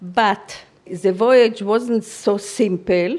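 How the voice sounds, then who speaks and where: A woman speaks in a German accent at a medium pitch. Her intonation stays fairly even. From Free City of Danzig. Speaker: Holocaust survivor. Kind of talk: interview testimony. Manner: halting.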